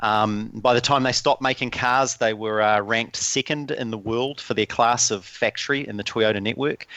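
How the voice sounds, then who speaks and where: With a New Zealand accent, a man speaks at a moderate pace and medium pitch, with hardly any pauses. His tone is bright and sharp, his intonation fairly even. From New Zealand, small town. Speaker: lean and learning consultant. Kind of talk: podcast interview.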